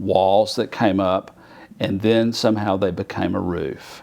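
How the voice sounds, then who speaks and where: Speaking at a fairly slow pace, a man talks with an Alabama accent. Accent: deep Alabama. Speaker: artist. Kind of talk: oral history interview. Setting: federal courthouse. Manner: conversational with frequent fillers.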